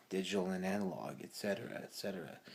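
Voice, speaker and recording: At a moderate pace, a man speaks quietly at a fairly low pitch. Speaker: vlogger. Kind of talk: casual monologue. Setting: at home at night, parents asleep.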